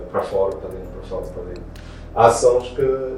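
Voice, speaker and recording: A man speaks at a moderate pace. Room echo and background noise are noticeable. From Portugal, Porto. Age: 30s. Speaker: beatboxer. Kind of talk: interview. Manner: halting, many fillers and repetitions.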